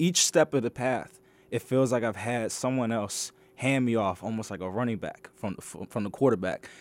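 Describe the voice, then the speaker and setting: A man with a plain, everyday voice, medium pitch, ordinary pitch variation and a moderate pace, in a very clean recording with a silent background. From Maryland, Washington DC area. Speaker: graduate student. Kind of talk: radio interview. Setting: radio studio.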